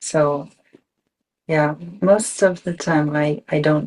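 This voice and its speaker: In a Japanese accent, a woman speaks at a very slow pace with a very deep, low pitch. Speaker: electronic musician. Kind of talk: interview. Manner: halting.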